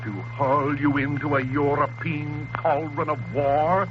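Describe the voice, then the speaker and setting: A man speaks against noticeable background noise. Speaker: priest, political radio commentator. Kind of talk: political radio address. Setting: 1930s radio broadcast. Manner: impassioned, oratorical.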